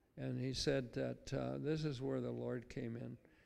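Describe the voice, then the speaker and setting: A man speaking at a very slow pace. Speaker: church member sharing testimony. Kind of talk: testimony. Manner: halting, chatty, humorous.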